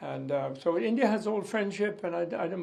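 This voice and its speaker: With vocal fry and lively intonation, a man speaks at a moderate pace amid audible room echo. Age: 80s+. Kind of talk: interview reaction.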